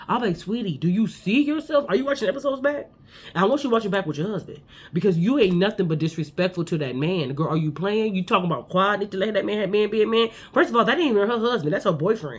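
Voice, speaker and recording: Loud and very fast, a woman speaks at a medium pitch that swings very widely. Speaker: reality TV recap podcaster. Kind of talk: casual chat.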